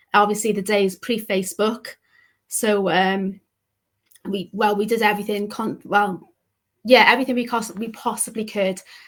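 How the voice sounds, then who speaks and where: Speaking with a Welsh accent, a woman with a fairly high pitch talks at a moderate pace in a monotone, flat delivery, with long, frequent pauses. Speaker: pet bereavement counsellor. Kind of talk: interview, personal story.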